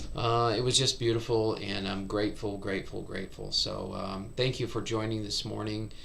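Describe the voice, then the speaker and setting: A man's fairly low voice, monotone and flat, at a moderate pace amid audible room echo. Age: 60s. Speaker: meditation teacher. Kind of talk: casual chat.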